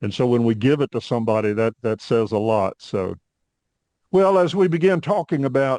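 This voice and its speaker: In a normal speaking voice with an American accent, someone speaks at a moderate pace against a quiet background, the sound dry and close with no echo. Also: man. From US South, Northwest Arkansas. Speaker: podcast host, Air Force veteran. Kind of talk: podcast interview.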